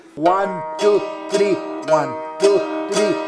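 Over clear music in the background, a man with a high pitch speaks at a very slow pace. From Northern New Mexico. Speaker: folk musician and music teacher. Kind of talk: bilingual guitar lesson instruction. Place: classroom.

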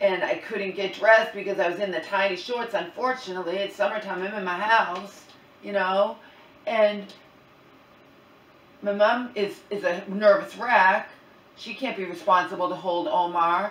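At a moderate pace, a woman talks with long, frequent pauses, and audible room echo surrounds her voice. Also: ordinary pitch variation. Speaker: vlogger. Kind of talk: casual vlog chat. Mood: upset, retelling a stressful event. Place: kitchen. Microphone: camera far.

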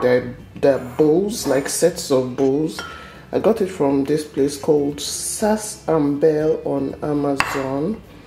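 There is light background noise, and the room echo is audible. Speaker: home cook vlogger. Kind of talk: casual cooking vlog chat. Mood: cheerful, enthusiastic. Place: kitchen.

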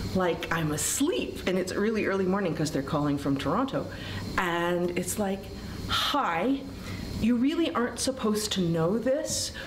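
A woman moves at a moderate pace amid noticeable background noise. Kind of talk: interview answer. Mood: animated, amused storytelling. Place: hall. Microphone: camera far.

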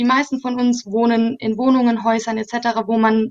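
A woman speaks in a monotone, flat way over a quiet background. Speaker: climate activist; guest. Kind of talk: panel discussion. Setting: video call. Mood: calm, thoughtful. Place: home room. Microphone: earbuds.

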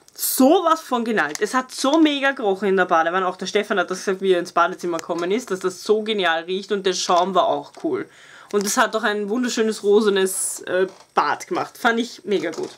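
Her pace is fairly quick. This woman's intonation is lively. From Austria. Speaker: beauty YouTuber. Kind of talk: casual product review vlog. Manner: animated. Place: home room. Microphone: camera far.

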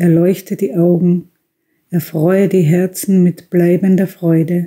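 A woman speaks very slowly in a flat, monotone voice with a dark, mellow tone. Her delivery is somewhat breathy. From Austria. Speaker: tobacconist shop owner, reading a prayer. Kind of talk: religious prayer reading.

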